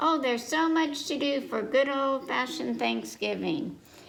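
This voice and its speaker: At a moderate speed, the voice is a put-on character voice. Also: woman, high pitch for a woman. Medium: read story.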